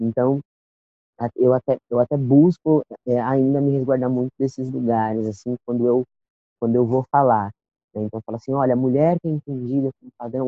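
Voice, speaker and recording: A man talks at a fairly quick pace in a monotone, flat voice, broken by long, frequent pauses. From São Paulo South Zone. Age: 20s. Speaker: poet and cultural producer. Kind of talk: casual interview.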